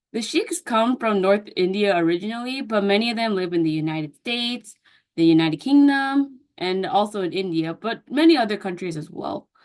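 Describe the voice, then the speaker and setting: A woman speaks at a moderate pace in a plain, everyday voice with an American accent. Her pitch is medium and her intonation is lively. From US. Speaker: counseling student. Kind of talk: class presentation. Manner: casual with fillers and self-corrections.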